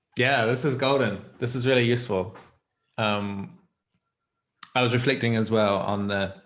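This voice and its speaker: With long, frequent pauses and fairly even intonation, a man speaks at a medium pitch in a room with audible echo. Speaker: guest learning about coaching. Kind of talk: casual chat. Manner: fast.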